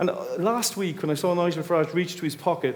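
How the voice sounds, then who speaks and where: With an Irish accent, a man speaks very fast in a high voice, his pitch varying in an ordinary way. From Ireland. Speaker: audience member. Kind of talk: heated debate.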